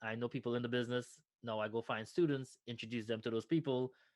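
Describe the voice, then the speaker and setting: A man with a Trinidadian accent talks at a fairly quick pace. His intonation is monotone and flat, and the background is quiet. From Trinidad and Tobago. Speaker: nonprofit founder, former finance professional. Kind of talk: interview conversation.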